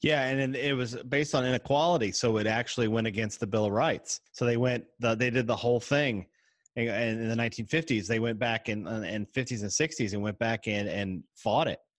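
This man has an unremarkable speaking voice, medium in pitch with ordinary pitch variation. He talks at a moderate pace on a very clean recording with a silent background. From US South, Tennessee. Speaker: podcaster. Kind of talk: casual chat.

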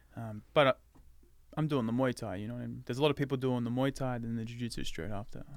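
Very fast male speech with an Australian accent. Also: medium pitch for a man, fairly even intonation. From Australia, Melbourne. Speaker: actor. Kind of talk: casual interview chat.

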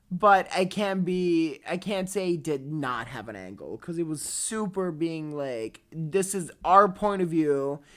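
A woman's fairly low voice at a fairly slow pace, with hardly any pauses and lively intonation. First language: not English. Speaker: podcast co-host. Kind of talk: casual chat. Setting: video call.

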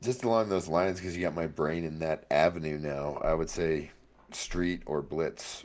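Very deep, low male pitch with ordinary variation. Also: moderate pace. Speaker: podcast co-host. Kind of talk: casual chat.

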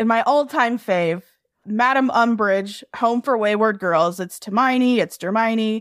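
A woman's fairly high voice, an unremarkable speaking voice, with lively intonation at a fairly slow pace, recorded very cleanly against a silent background in a dry, close sound with no echo. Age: 20s. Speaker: fanfiction writer. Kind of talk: casual chat.

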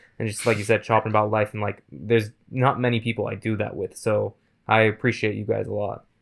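On a very clean recording with a silent background, a man with a fairly low pitch and vocal fry talks at a very fast pace with fairly even intonation. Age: 20s. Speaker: basketball podcast co-host. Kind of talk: casual chat.

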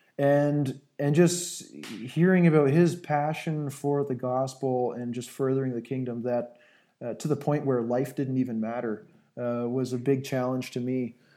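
Dark, mellow tone from a man with a Canadian accent, fairly even intonation, very clean recording and a silent background. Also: medium pitch for a man, fairly slow pace. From southern Ontario, Canada. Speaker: aircraft maintenance engineer. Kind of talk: interview.

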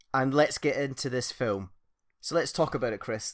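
Speaking at a moderate pace in a Scottish accent, a man uses lively intonation on a very clean recording with a silent background. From Scotland. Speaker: podcast host. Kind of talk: casual chat.

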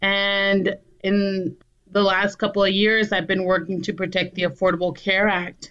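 A woman with an American accent, in a monotone, flat delivery at a fairly slow pace. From southern Arizona border town. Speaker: political candidate, community organizer. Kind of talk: interview. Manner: halting, with fillers.

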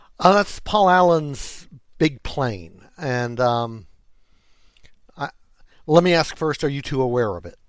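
Speaking very slowly with long, frequent pauses, a man with a fairly high pitch swings very widely in pitch and shows big shifts in loudness. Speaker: podcast co-host. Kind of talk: casual chat. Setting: headset, remote recording.

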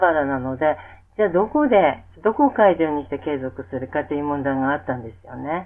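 Fairly quick delivery with very wide pitch swings. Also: woman. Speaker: music therapist. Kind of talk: interview. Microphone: poor audio quality.

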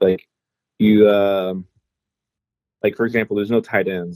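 With an American accent and an ordinary speaking voice, a man talks at a moderate pace and a fairly low pitch, in a dry, close sound with no echo. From Indianapolis, Indiana. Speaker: fantasy league member. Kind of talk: casual chat.

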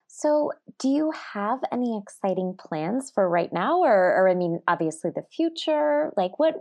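Here a woman speaks with an American accent at a moderate pace. Her voice is high, with very wide pitch swings. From California. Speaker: podcast co-host. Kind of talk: casual chat.

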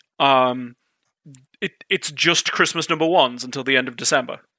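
A man with an unremarkable speaking voice, ordinary pitch variation and a moderate pace, on a very clean recording with a silent background. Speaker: guest, tech company rep and gamer. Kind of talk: casual banter.

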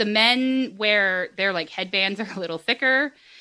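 In an American accent, a woman speaks in a normal speaking voice at a moderate pace, fairly high in pitch with ordinary variation. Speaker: podcast host. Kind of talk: casual chat.

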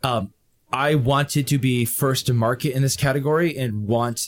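Somewhat breathy male speech at a medium pitch, its pitch varying in an ordinary way. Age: 30s. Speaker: fitness streamer. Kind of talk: casual chat.

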